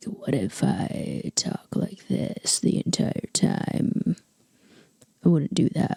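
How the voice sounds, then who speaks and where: Mumbling, the speaker uses a put-on character voice that is breathy and middle-pitched. The pace is very slow. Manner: breathy, poorly enunciated.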